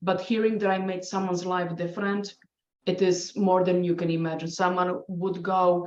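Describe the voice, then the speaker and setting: A woman speaks at a moderate pace in a Polish accent. Her fairly low voice stays monotone and flat. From Poland. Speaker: scientist and adjunct professor, award winner. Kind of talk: podcast panel interview. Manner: halting, many restarts.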